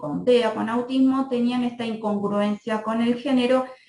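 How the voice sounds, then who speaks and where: A woman's voice, fairly high in pitch. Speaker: pediatrician. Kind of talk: lecture.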